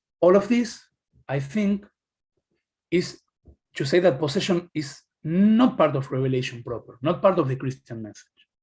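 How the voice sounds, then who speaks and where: This man's voice sits fairly high, swings very widely in pitch, and breaks off often for long pauses. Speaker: academic presenter. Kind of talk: lecture. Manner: fast; halting.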